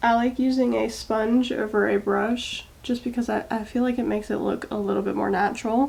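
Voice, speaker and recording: Fairly quick speech from a woman with an American accent, hardly any pauses, and noticeable background noise. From Maryland and Texas, US. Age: 20s. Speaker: beauty vlogger. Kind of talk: makeup tutorial chat. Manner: casual, chatty.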